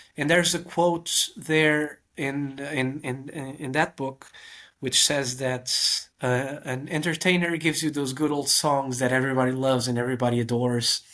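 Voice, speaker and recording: Using fairly even intonation, a man with a Portuguese accent talks at a moderate pace and a fairly high pitch. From Portugal. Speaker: magician. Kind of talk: casual chat. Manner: halting.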